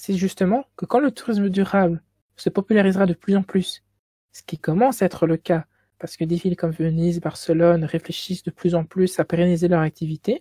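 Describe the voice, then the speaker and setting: In a Belgian accent, a woman speaks fairly quickly with a fairly low pitch, ordinary pitch variation, and a dark, mellow, somewhat breathy tone, her loudness swinging widely. The sound is dry and close with no echo, a very clean recording over a silent background. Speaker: student lecturer. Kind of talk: lecture. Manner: stuttering.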